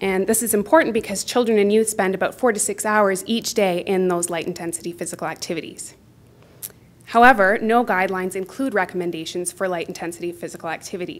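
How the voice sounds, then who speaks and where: Talking at a very fast pace, a woman shows ordinary pitch variation. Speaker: health researcher. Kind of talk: conference presentation. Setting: stage with audience. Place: hall.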